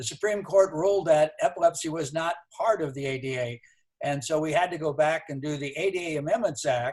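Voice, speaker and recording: A man with an American accent, somewhat breathy, at a fairly quick pace with ordinary pitch variation. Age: 70s. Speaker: advocacy board member, former congressman. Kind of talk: speech on a video call. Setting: video call.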